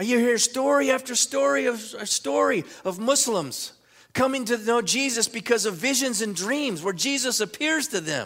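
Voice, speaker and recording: This man speaks at an extremely high pitch, his intonation lively. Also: moderate pace. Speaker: pastor. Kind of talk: sermon. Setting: church. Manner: fervent, rousing, preacherly call-and-response; earnest, emphatic, repeating lines.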